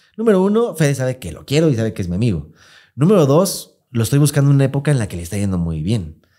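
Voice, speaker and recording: At a very fast pace, a man with a Mexican accent speaks in a dark, mellow tone at a medium pitch, with very wide pitch swings over a quiet background. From Mexico. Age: 30s. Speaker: podcast host. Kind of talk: casual chat. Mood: candid, personal storytelling. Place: studio. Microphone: studio mic.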